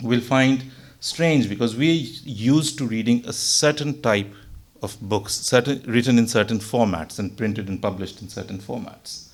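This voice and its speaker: A man with a Pakistani accent speaks at a medium pitch and a moderate pace. His pitch varies in an ordinary way while his loudness swings widely. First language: Urdu. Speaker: religious speaker. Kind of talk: religious talk. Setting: mosque gathering.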